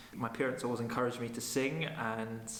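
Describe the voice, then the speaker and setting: A man's flat, monotone delivery in a Highland Scottish accent, with audible room echo and noticeable background noise. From Scottish Highlands, Nairn. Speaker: opera singer. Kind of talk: interview talk. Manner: hesitant, many fillers.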